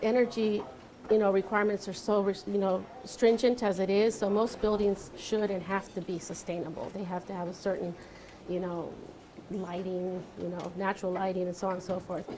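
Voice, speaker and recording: Speaking with a Spanish accent, a woman keeps a medium pitch, a moderate pace and monotone, flat intonation. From Santa Barbara, California (moved from Mexico at about five). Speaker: architect. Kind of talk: panel talk answering audience questions. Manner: hesitant with many fillers.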